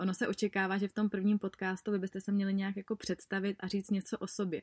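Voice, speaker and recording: A woman's medium-pitched voice at a fairly quick pace, dry and close with no echo. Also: very clean recording, silent background. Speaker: podcast host and blogger. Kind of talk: casual monologue. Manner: fast; animated.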